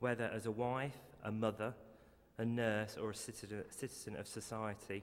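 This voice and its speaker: This man has an English accent. His voice is fairly low in pitch. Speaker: eulogy speaker, family member. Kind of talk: eulogy. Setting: funeral service. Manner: halting, repeats words.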